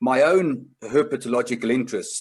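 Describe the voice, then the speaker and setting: A man speaks with a South African accent. His pitch varies in an ordinary way. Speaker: conservation group chair, seminar presenter. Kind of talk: online seminar presentation. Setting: online video seminar.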